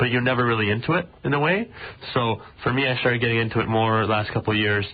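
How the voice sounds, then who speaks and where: Very fast and very even in loudness, a man's medium-pitched voice carries ordinary pitch variation. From Israel, then Richmond Hill, Ontario from about age 10. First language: Russian. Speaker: junior hockey player. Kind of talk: radio interview. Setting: radio studio. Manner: casual, many fillers.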